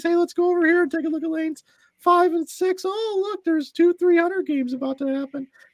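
A loud, squeaky put-on character voice at an extremely high pitch, at a fairly quick pace. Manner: loud, hyped, raised-voice announcer style.

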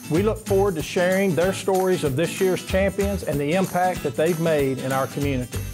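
Clear music can be heard in the background. Over it, a man talks at a moderate pace. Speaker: former board chairman. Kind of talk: event invitation announcement. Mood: warm, upbeat. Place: classroom.

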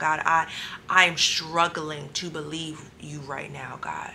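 Soft-spoken, a woman talks at a fairly low pitch in a monotone, flat way against noticeable background noise. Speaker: faith vlogger. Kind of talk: testimony video. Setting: hotel room at night. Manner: soft-spoken, low.

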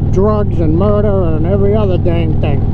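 The sound is dry with no echo, and loud background noise is present. Speech moves at a fairly quick pace. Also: man. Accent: American. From Florida, US (transplant). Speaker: motorcycle vlogger. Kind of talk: angry rant. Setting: riding motorcycle outdoors, helmet, wind noise. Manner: irritated, grumbling, sarcastic. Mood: grumbling, ranting. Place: motorbike.

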